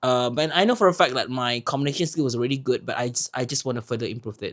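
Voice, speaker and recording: A man is speaking. He has a Malaysian accent. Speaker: podcast co-host. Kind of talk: casual chat.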